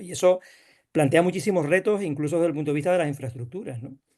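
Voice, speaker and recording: A man speaks with ordinary pitch variation. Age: 60s. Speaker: rural development official. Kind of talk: panel discussion. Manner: halting.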